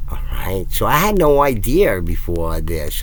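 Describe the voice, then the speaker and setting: A man with a Brooklyn accent speaks at a fairly slow pace. Audible room echo and noticeable background noise surround him. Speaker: YouTuber. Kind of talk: casual monologue. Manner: rambling, halting.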